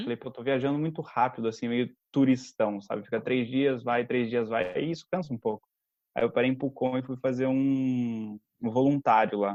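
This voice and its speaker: This man has an unremarkable speaking voice at medium pitch. He talks at a moderate pace with fairly even intonation. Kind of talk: podcast conversation. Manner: casual, storytelling.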